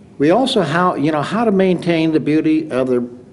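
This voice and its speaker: A man talks at a middling speed against noticeable background noise. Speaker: city council candidate. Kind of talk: candidate forum answer. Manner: halting.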